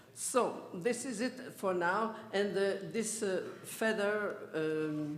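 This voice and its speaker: A man with a French accent speaks at a very slow pace and a high pitch, with ordinary pitch variation. Audible room echo surrounds his voice. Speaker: theosophical society official introducing speaker. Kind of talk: event introduction speech. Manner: halting, hesitant.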